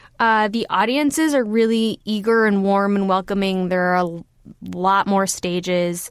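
Speaking with a Californian accent, a woman talks at a fairly slow pace and medium pitch with ordinary pitch variation and hardly any pauses. The recording is very clean, with a silent background. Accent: General American (California). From Los Angeles, US. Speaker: comedian and comedy writer. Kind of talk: casual interview chat. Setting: studio booth.

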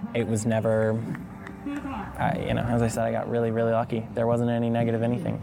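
A mid-pitched man races through his words while clear background noise carries on. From Alabama, Mountain Brook. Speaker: son of a senator. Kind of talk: interview. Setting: outdoors.

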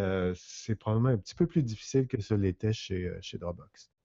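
This voice moves at a moderate pace with ordinary pitch variation, a normal speaking voice. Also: man. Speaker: digital communication consultant. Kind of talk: casual chat.

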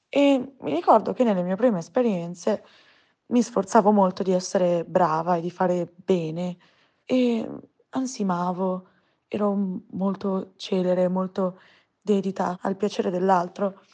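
A woman at medium pitch with a dark, mellow tone, ordinary pitch variation, a fairly slow pace and long, frequent pauses, against a quiet background. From provincial Italy. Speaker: listener sharing personal story. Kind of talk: testimony.

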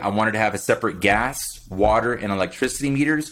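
A man with an American accent and an unremarkable speaking voice talks at a moderate pace and medium pitch with ordinary variation, on a very clean recording with a silent background. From Miami, Florida. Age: 40s. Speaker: military veteran and real estate investor. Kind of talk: podcast interview.

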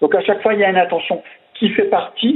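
A man with an Alsatian accent. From Alsace, France. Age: 50s. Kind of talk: interview. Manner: hesitant, many repetitions. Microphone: unstable network connection.

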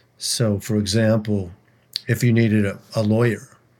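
A man speaks at a moderate pace with an American accent. His pitch is fairly low. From Minnesota, St. Louis Park. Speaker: singer-songwriter. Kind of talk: interview conversation.

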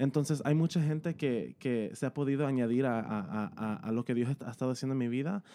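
Against a quiet background, the voice carries a dark, mellow tone, moving at a fairly quick pace with hardly any pauses, very even loudness, and ordinary pitch variation. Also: man, medium pitch for a man. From US, Los Angeles, California. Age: young. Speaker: worship leader and singer. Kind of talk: casual chat about worship.

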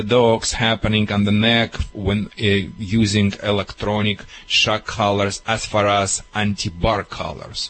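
A man with a Russian accent speaks fairly slowly in a fairly low voice. Noticeable background noise runs underneath. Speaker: dog trainer. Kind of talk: radio call-in advice. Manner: animated.

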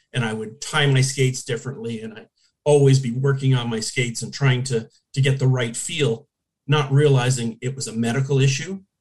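A man with a Canadian accent speaks at a fairly quick pace in a medium pitch, his intonation fairly even. His voice is somewhat breathy, and his loudness swings widely. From Hamilton, Ontario, Canada. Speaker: former hockey goalie. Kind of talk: interview.

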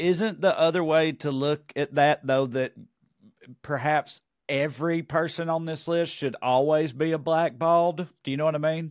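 A man with a Southern US accent and a fairly high pitch, at a moderate pace with fairly even intonation, in a dry, close sound with no echo on a very clean recording with a silent background. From Tennessee. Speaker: comedian and podcast co-host. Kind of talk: casual chat.

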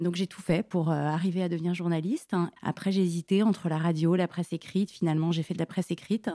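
Woman's fairly low, dark and mellow voice, very fast and flat in a monotone, with a dry, close sound and no echo. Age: 40s. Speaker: journalist. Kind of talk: casual chat. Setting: studio. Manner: halting.

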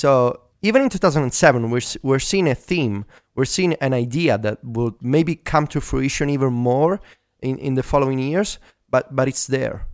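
Moderate pace and ordinary pitch variation from a man with a medium-pitched voice. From Italy. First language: Italian. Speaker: tech podcast co-host. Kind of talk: casual chat. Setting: remote call.

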